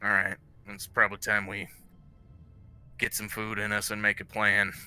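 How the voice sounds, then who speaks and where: Doing a put-on character voice, a raspy man speaks at a moderate pace and fairly low pitch in a monotone, flat delivery, his loudness swinging widely. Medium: actual play.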